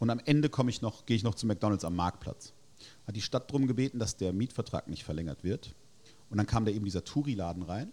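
A man's fairly low, dark, mellow voice at a very fast pace. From Germany, Heidelberg. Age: 40s. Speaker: burger restaurant owner. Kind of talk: casual interview. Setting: in person at his restaurant.

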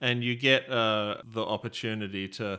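Very clean recording with a silent background, featuring a man with an Australian accent. His fairly low voice has a bright, sharp tone and fairly even intonation. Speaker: board game podcast co-host. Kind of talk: casual chat.

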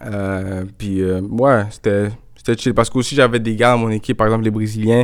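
This voice belongs to a man at a medium pitch. He talks at a fairly slow pace. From Montreal, Quebec. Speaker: soccer player. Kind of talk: interview. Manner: casual, hesitant fillers.

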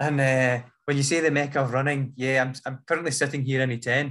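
Here a man speaks in a Scottish accent at a fairly quick pace. His intonation is monotone and flat. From Scotland. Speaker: runner. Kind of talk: podcast interview. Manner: fast.

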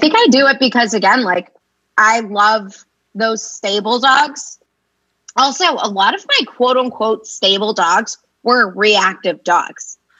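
A woman's fairly high voice at a fairly slow pace, an unremarkable speaking voice with ordinary pitch variation. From Boston area. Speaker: dog trainer. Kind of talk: casual chat.

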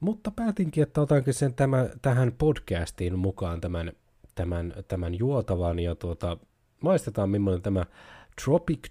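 The tone is dark and mellow, with lively intonation. The recording is very clean, with a silent background. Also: man. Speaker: podcast host. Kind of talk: casual live-stream podcast monologue. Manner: rambling, runs off on tangents; halting, many fillers and restarts.

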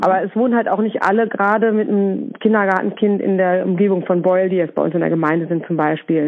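Talking very fast, a woman with a medium pitch keeps her loudness very even and her pitch variation ordinary. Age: 40s. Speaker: kindergarten head. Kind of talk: interview. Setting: phone call.

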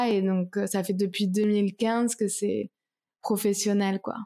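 In a very clean recording with a silent background, a woman at medium pitch speaks very slowly in a monotone, flat intonation with a dark, mellow tone. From France, Toulouse. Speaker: singer-songwriter. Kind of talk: interview. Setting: at home, apartment.

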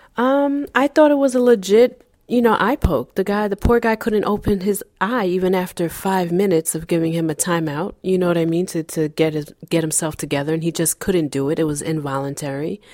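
This woman has an ordinary speaking voice at a medium pitch, with lively intonation. She talks at a fairly quick pace with hardly any pauses. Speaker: podcast co-host. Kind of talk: casual chat.

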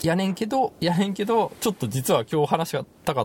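A man speaks with a Kansai accent. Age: 30s. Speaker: podcast host. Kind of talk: casual chat. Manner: halting, many fillers.

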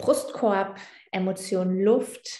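A somewhat breathy woman's voice at a very slow pace, with ordinary pitch variation. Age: 20s. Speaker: yoga teacher. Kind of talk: casual interview.

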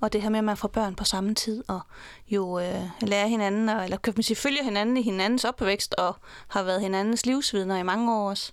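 A woman talks at a fairly quick pace in a medium pitch, in an unremarkable speaking voice. Her intonation is fairly even, her loudness very even, and the recording very clean with a silent background. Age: 40s. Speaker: divorced mother. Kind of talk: interview. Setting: studio.

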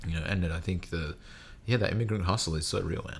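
Somewhat breathy, a man with a very deep, low pitch speaks at a very fast pace. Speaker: podcast host. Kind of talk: casual interview chat.

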